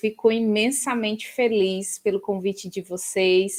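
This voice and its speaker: Over a very clean recording with a silent background, a woman speaks at a very slow pace, fairly high in pitch, with fairly even intonation. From Ceará, Brazilian Northeast. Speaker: professor. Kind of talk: interview.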